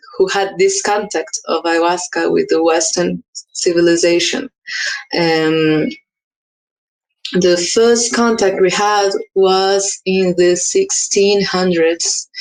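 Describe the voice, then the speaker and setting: Speaking very slowly with long, frequent pauses, a woman with a Portuguese accent holds a medium pitch and ordinary pitch variation. Her loudness stays very even. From Brazil, Amazonas state. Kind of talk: conference talk. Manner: halting.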